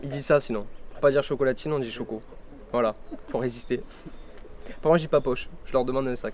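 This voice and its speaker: This man's voice sits at medium pitch. He talks very fast but with long, frequent pauses. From southern France, Cévennes (Gard). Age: 20s. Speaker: film student and filmmaker. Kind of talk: interview by school pupils. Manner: hesitant, many fillers.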